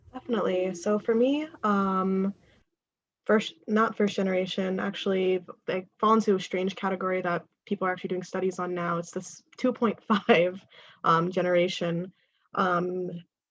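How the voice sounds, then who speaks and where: A woman's medium-pitched voice, an unremarkable speaking voice, keeps a moderate pace and fairly even intonation. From New York. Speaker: diversity facilitator. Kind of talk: workshop presentation.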